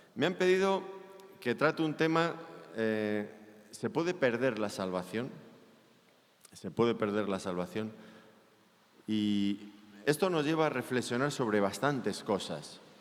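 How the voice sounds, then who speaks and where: Speaking at a fairly slow pace in a Spanish accent, a man leaves long, frequent pauses while his pitch swings very widely. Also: medium pitch for a man. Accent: Spanish (Spain) accent, noticeable in Mexico. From Spain. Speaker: pastor. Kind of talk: sermon.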